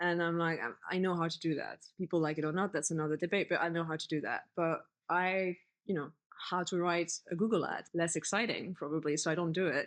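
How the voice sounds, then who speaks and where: A woman with a French accent talks at a fairly quick pace and a fairly low pitch, her intonation fairly even. The background is quiet. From France. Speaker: community manager and writer. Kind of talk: podcast interview.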